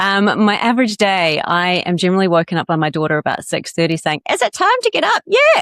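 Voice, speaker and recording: With a slight New Zealand accent, a woman speaks very fast at a medium pitch with ordinary pitch variation, very even loudness and hardly any pauses, in a dry, close sound with no echo. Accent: Kiwi accent, slight. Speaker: coach and podcast guest. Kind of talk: casual interview chat.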